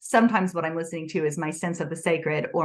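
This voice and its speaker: A woman with a fairly low pitch talks at a very fast pace. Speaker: author. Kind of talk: interview.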